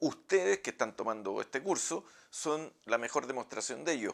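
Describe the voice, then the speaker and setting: At a moderate pace, a man with a Chilean accent speaks at a fairly high pitch with very wide pitch swings. The recording is very clean, with a silent background. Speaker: professor. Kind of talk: lecture. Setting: office.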